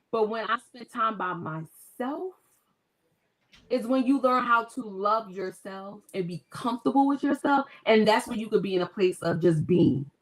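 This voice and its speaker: A woman speaks in a normal speaking voice at a fairly high pitch and a moderate pace. Her intonation is lively, and her loudness swings widely. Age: 40s. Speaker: author. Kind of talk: casual chat.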